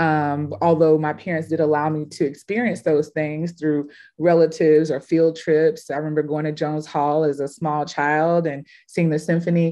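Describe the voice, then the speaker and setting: With an American accent, a woman talks at a moderate pace with hardly any pauses, her very deep, low voice carrying a dark, mellow tone and a monotone, flat intonation over a quiet background. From Houston, Texas. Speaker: curator and artist; panelist. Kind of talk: panel discussion. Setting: video call. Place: home room. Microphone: webcam.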